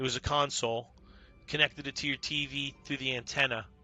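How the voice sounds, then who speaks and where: A fairly high-pitched male voice with an American accent, bright and sharp in tone, fairly even in intonation, and dry and close with no echo. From New York. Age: 50s. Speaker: video game streamer. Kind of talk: live gameplay stream chat. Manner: casual, conversational.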